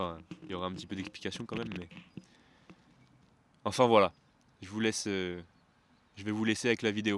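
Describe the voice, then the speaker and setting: Speaking at a fairly quick pace with long, frequent pauses, a man with a fairly low pitch shows big swings in loudness and ordinary pitch variation. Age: 20s. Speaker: travel vlogger. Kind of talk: vlog. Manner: hesitant, many fillers.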